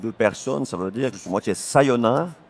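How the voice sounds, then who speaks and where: The speaker has a slight Valais accent. The sound is dry and close, with no echo. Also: man. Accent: Valais local accent, slight. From Fully, Valais, Switzerland. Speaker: police spokesperson. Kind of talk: casual cooking show chat. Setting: TV set on a fair stand.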